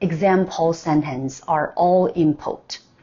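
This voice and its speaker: In a non-native accent, a woman speaks at a very slow pace with a fairly low pitch. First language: not English. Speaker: language learner vlogger. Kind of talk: tutorial. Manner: halting with self-corrections.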